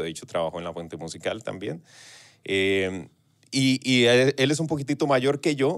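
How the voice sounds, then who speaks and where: A man with a Costa Rican accent talks at a moderate pace with very wide pitch swings. The background is quiet. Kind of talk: casual interview chat. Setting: radio studio. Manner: relaxed, talkative, hesitant with fillers. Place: studio.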